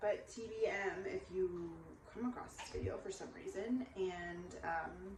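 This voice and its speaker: A woman is speaking. Her voice has audible room echo and noticeable background noise. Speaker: vlogger. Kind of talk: casual vlog monologue. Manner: frequent filler um.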